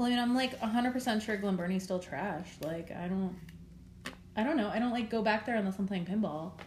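A woman with a plain, everyday voice and an American accent speaks at a moderate pace, her medium pitch showing ordinary variation. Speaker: podcast host, embroidery artist. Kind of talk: casual chat.

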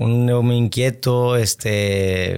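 A man speaks in a monotone with flat intonation. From Monterrey, Mexico. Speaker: football coach. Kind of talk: interview.

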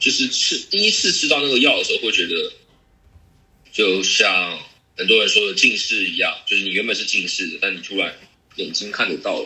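A man speaks with a Taiwanese accent. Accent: Taiwanese Mandarin. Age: 20s. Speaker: photographer moving into game industry. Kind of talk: casual interview conversation. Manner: halting, repetitive.

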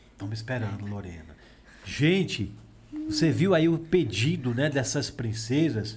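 Lively intonation and vocal fry run through this voice at a moderate pace. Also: man. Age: 20s. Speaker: podcast host. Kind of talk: casual chat with children. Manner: animated.

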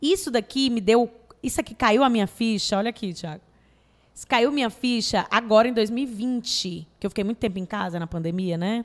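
A woman speaks in a Cearense accent at a moderate pace. Her pitch is fairly high with ordinary variation. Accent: Cearense Brazilian Portuguese. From Brazil, Fortaleza (Ceará). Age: 30s. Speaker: actress and comedian. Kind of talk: casual chat. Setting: studio.

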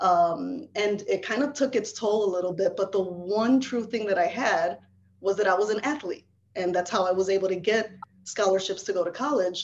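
The woman talks at a moderate pace with very even loudness. Her medium pitch moves with ordinary variation. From Chicago, US. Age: 40s. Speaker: life coach. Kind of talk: casual interview. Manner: animated.

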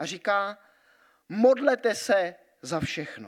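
His intonation is lively. The man talks at a very slow pace. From Switzerland (Grindelwald). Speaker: pastor. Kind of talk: sermon. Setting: church.

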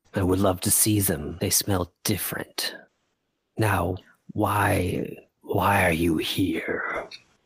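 In a put-on character voice, a man rumbles in a gravelly, raspy tone at a fairly low pitch. He talks very slowly. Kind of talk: fantasy game master character voice. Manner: slow, solemn, gentle.

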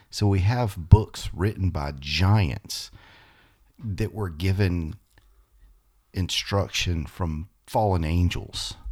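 A man's very deep, low voice, somewhat breathy, at a very slow pace with long, frequent pauses, in a very clean recording with a silent background. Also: ordinary pitch variation. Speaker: podcast co-host. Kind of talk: casual religious discussion.

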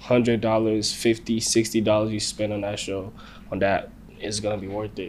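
With an American accent, a man speaks at a moderate pace in a fairly low pitch, his intonation flat and monotone. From Nigeria, Lagos. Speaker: musician. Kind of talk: casual chat.

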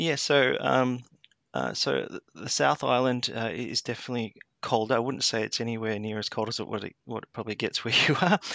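With an Australian accent, a man talks fairly quickly at a medium pitch with vocal fry and lively intonation. The sound is dry and close with no echo, over a quiet background. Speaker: HVAC technician and grid industry worker. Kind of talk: interview. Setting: remote call from New Zealand. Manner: hesitant with many fillers.

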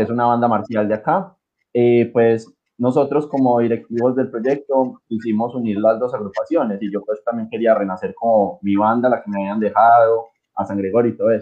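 A man talks at a fairly quick pace in an unremarkable speaking voice, his medium pitch held to fairly even intonation. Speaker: music teacher and marching band organizer. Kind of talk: casual chat.

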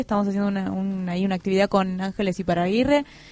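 A woman speaks at a medium pitch. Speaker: community radio host. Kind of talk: casual radio chat. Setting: radio studio.

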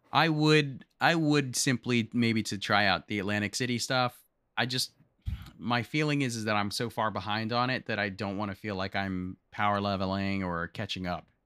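A man with an American accent talks at a moderate pace in a fairly low pitch and a bright, sharp tone with ordinary pitch variation, on a very clean recording with a silent background and a dry, close sound with no echo. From US South. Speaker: podcast co-host and streamer. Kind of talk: casual chat.

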